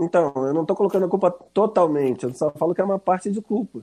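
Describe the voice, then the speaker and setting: Speaking at a fairly quick pace, a man with a high pitch and a dark, mellow tone uses ordinary pitch variation, the sound dry and close with no echo. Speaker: gaming YouTuber. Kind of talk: casual chat. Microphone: voice cutting out.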